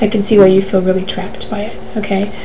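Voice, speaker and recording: A woman talks fairly quickly at a medium pitch in a monotone, flat intonation. Audible room echo and noticeable background noise surround her. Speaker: life coach. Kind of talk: live Q&A webcast. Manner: fast.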